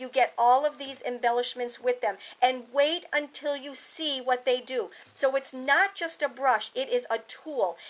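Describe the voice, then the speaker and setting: The speech moves at a fairly slow pace with ordinary pitch variation and big swings in loudness. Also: woman, high pitch for a woman. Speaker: crafting product demonstrator; craft product demonstrator. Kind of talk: product demonstration tutorial; product demo tutorial. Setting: home studio. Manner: animated.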